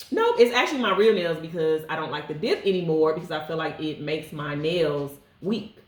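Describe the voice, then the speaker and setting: A woman speaks at a fairly quick pace with an American accent, her pitch fairly low. The room echoes audibly, and there is noticeable background noise. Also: ordinary pitch variation. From St Louis, Missouri. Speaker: podcast co-host. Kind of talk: casual chat.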